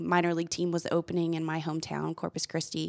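With an American accent and an ordinary speaking voice, a woman talks at a fairly quick pace and a fairly low pitch, in a dry, close sound with no echo. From Texas. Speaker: minor league baseball general manager. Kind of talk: interview. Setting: studio.

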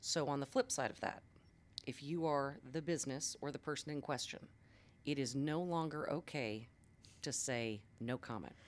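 A woman speaks at a very deep, low pitch with ordinary pitch variation and long, frequent pauses. It is a very clean recording with a silent background. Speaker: television journalist and media coach. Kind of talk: casual interview chat. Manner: fast talker.

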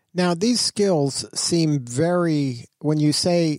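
In a very clean recording with a silent background, a man's dark, mellow tone comes through dry and close, with no echo. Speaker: radio host. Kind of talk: radio interview. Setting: radio studio.

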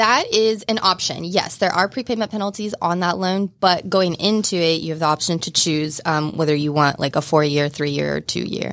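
A woman with an American accent speaks at a moderate pace with hardly any pauses, in an unremarkable speaking voice. Her pitch is fairly low, with ordinary variation. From southeast Kansas. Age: 30s. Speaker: mortgage lender. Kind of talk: casual chat. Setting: studio.

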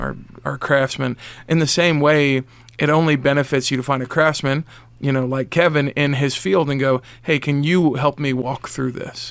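A man's plain, everyday voice, fairly high in pitch, at a moderate pace with fairly even intonation. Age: 40s. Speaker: radio co-host. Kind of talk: radio talk show interview; community announcements. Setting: radio studio.

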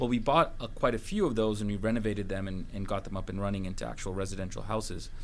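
Talking at a very fast pace with hardly any pauses, a man keeps a fairly low pitch. His intonation stays fairly even. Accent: Canadian. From Vancouver, Canada. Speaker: hotel company CEO. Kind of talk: radio interview. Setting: studio.

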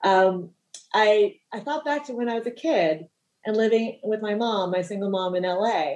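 A woman speaks with a Californian accent at a moderate pace. Her intonation is lively. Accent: General American (California). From US West Coast, Los Angeles. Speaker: financial planner. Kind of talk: interview. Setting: studio.

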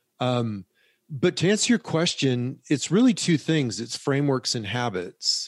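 This man has an ordinary speaking voice, medium in pitch, at a moderate pace. The sound is dry and close with no echo, over a quiet background. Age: 60s. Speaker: personal finance educator, former hedge fund founder. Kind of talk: interview.

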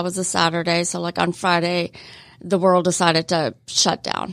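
On a very clean recording with a silent background, a woman with a fairly low pitch speaks at a fairly slow pace. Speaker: magazine publisher and marketer. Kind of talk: radio interview. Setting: studio.

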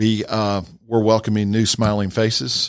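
A man with a fairly low voice and an American accent speaks at a fairly slow pace on a very clean recording with a silent background. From north Georgia, US South. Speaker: dentist. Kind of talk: radio interview.

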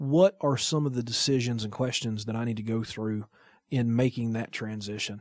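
At a moderate pace and medium pitch, a man uses a normal speaking voice with fairly even intonation. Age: 30s. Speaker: radio producer and entrepreneur. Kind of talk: interview. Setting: studio.

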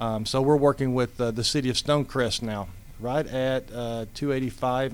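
Medium-pitched, fairly even intonation and moderate speed from a man with a normal speaking voice. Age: 50s. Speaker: amateur baseball league president. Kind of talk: casual interview.

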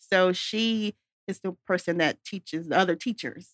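The recording is very clean, with a silent background and a dry, close sound with no echo. A woman speaks in a normal speaking voice at a medium pitch and a moderate pace, with ordinary pitch variation. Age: young. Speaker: golf business founder. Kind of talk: interview. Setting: studio.

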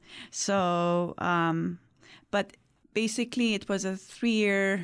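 A woman with a non-native accent speaks with fairly even intonation. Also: very clean recording, silent background. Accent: foreign. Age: 50s. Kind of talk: interview. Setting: studio.

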